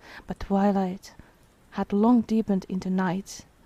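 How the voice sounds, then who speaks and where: Speaking at a fairly slow pace, a woman has a non-native accent. Her tone is dark and mellow. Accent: non-native accent, people guess its origin. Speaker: vtuber streamer. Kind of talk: reading aloud; casual chat. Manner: halting.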